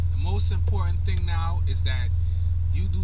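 Loud background noise behind a man talking at a moderate pace. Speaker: vlogger. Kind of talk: casual vlog chat. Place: car.

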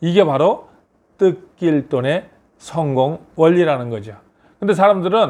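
A man with a plain, everyday voice speaks at a fairly slow pace and fairly high pitch, with lively intonation. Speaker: business consultant and lecturer. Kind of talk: motivational talk.

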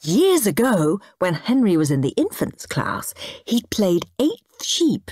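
The voice reads aloud in an unforced way. Nothing in it sounds pushed.

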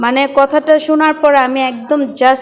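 A woman speaks with a high pitch. Noticeable background noise is present. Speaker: vlogger. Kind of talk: vlog narration. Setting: outdoors, self-filmed.

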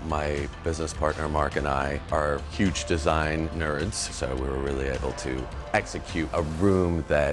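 A man with a very deep, low voice speaks over clear music in the background. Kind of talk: interview answer. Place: bar.

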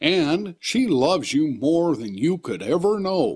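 A man puts on a character voice, pitched high. He speaks at a fairly slow pace. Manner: soft, comforting.

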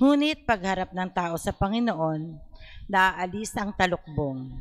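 With a normal speaking voice at a medium pitch, a woman talks at a fairly slow pace with lively intonation. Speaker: lector. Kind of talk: scripture reading aloud. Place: church. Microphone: handheld.

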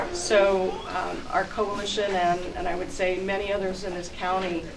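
The voice belongs to a woman. Background noise is noticeable throughout. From US Midwest. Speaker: chamber of commerce president. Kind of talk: public speech. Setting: outdoors. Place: garage. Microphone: camera far.

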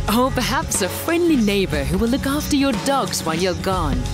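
A woman speaks at a moderate pace. Clear music plays in the background, and the sound is dry with no echo. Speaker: voice artist. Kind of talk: commercial voice-over read. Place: studio.

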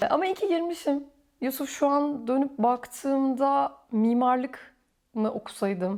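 Her intonation is lively, and this woman has a dark, mellow tone. The recording is very clean, with a silent background. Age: 40s. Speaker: orthodontist. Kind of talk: casual interview chat. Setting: at home, filmed.

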